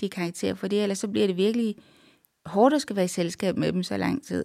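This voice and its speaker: Very clean recording of a woman over a silent background. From Denmark, Randers (East Jutland). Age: 40s. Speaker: literary translator. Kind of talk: interview.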